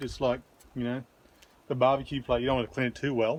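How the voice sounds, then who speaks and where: A man is speaking. His pitch is medium. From Australia. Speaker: video blogger. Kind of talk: cooking tutorial. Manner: casual, hesitant.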